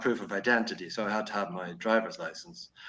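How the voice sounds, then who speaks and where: Speaking at a fairly quick pace with a Dublin accent, a man has a fairly low pitch, ordinary pitch variation and a bright, sharp tone. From Ireland, Dublin. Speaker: podcaster. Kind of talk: casual chat. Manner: hesitant, many fillers.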